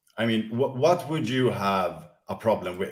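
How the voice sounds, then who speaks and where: With a non-native accent, a man speaks at a moderate pace and a medium pitch. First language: not English. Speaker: crypto project presenter. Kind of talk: presentation. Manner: halting, many fillers and repeats.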